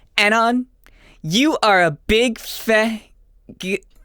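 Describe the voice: Someone reads aloud plainly, and the pitch shifts in an ordinary way.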